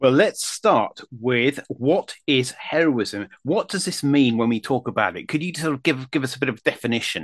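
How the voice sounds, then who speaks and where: In a normal speaking voice at medium pitch, a man talks at a moderate pace with lively intonation and hardly any pauses, the sound dry and close with no echo. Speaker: history podcast host. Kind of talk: interview.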